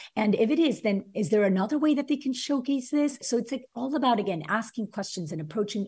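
This woman's voice is somewhat breathy. She talks very fast. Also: very clean recording, silent background. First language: not English (English is third language). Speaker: former teacher, author and education entrepreneur. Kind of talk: interview conversation.

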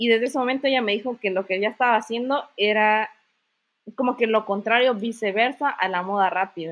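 In an ordinary speaking voice, a woman talks at a fairly quick pace and a fairly high pitch. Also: ordinary pitch variation. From Mexico, Chiapas (Comitán). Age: 20s. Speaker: university student and entrepreneur. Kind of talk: casual interview chat.

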